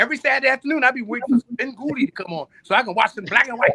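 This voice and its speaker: Raised and projected, the voice sounds bright, sharp and animated, racing at a very fast pace with ordinary pitch variation in a dry, close sound with no echo. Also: man. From US Northeast, North Philadelphia. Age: 60s. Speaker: musician. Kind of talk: casual chat.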